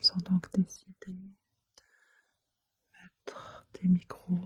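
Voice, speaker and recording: The speaker is soft-spoken. The delivery is a whisper. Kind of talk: soft-spoken ASMR true crime narration. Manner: soft-spoken, whispery.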